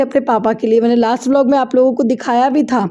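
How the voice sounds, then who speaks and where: A dark, mellow tone with fairly even intonation. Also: woman. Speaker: vlogger, homemaker. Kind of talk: voice-over narration.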